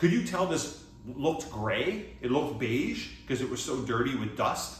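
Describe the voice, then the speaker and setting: Noticeable background noise and audible room echo fill this clip. A man with a Canadian accent speaks with very wide pitch swings. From Atlantic Canada, Halifax, Nova Scotia. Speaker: fitness coach. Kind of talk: product review vlog. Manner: casual, halting with self-corrections.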